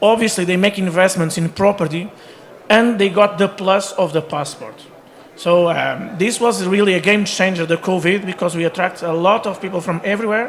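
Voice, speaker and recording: A man at a moderate pace with a high pitch and ordinary pitch variation, amid noticeable background noise. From Portugal. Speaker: real estate agent. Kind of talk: panel discussion.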